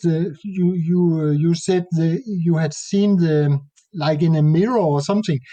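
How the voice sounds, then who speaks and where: High-pitched male speech with a Danish accent, a dark, mellow tone and ordinary pitch variation, at a fairly slow pace over a quiet background. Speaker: nature photographer. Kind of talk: interview conversation. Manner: halting.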